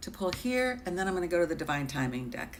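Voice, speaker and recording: Audible room echo can be heard. The voice ranges through very wide pitch swings. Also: woman. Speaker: tarot reader. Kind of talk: live-stream tarot reading. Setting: live stream with chat. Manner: hesitant, filler-heavy.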